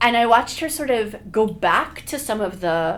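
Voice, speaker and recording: Loud and animated, a woman speaks at a moderate pace over noticeable background noise. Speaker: public health professor. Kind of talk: casual chat.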